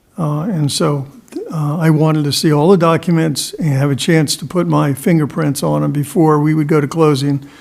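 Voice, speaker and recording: Noticeable background noise runs behind a man speaking at a moderate pace. His pitch is fairly high and his intonation fairly even. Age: 70s. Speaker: developer. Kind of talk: public meeting discussion.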